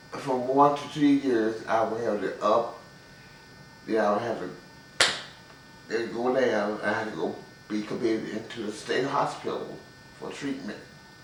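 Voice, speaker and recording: Fairly slow male speech with fairly even intonation and long, frequent pauses, amid audible room echo and noticeable background noise. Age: 60s. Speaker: person living with bipolar disorder. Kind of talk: interview testimony. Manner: halting.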